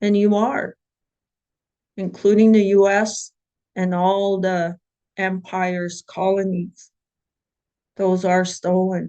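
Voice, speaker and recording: Dark, mellow tone in a monotone, flat intonation, very slow with long, frequent pauses, in a dry, close sound with no echo. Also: woman, medium pitch for a woman. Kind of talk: webinar panel talk. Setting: online webinar.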